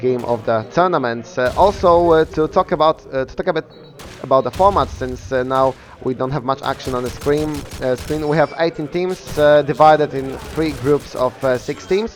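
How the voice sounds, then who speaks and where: A man in a Polish accent speaks at a moderate pace in a fairly high pitch with ordinary pitch variation, over noticeable background noise. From Poland. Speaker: esports caster. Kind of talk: live commentary. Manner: halting, many fillers.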